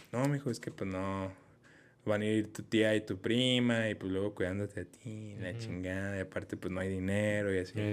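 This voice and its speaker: A man speaks with a Mexican accent at a fairly low pitch. His pace is moderate and his intonation fairly even. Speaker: podcast host. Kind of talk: casual chat.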